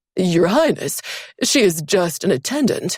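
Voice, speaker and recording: At a middle pitch, this put-on character voice swings very widely up and down. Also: moderate pace. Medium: read story. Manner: obsequious to superiors, brusque to servants.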